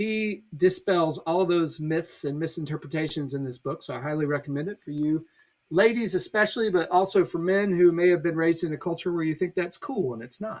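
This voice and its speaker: Speaking at a fairly quick pace with hardly any pauses, a man uses a high voice and ordinary pitch variation. His loudness swings widely. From Virginia. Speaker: pastor. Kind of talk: casual chat.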